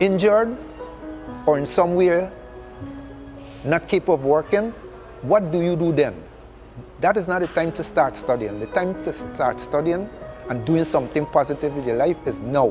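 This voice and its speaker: Music plays in the background as a man speaks at a fairly high pitch. He has lively intonation and a moderate pace, with long, frequent pauses. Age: 70s. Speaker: retired telecom manager. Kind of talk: interview answer.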